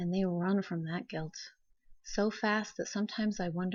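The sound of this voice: The clip features an unforced reading voice.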